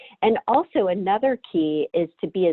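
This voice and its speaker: The speaker is a woman with a medium-pitched voice. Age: 40s. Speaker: career coach. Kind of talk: webinar presentation. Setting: online webinar.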